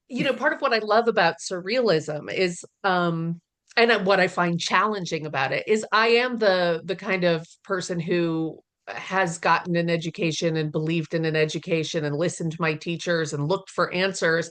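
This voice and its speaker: A woman talks at a moderate pace in a fairly low pitch with ordinary pitch variation. She has a plain, everyday voice. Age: 40s. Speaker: poetry podcast host. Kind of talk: casual chat.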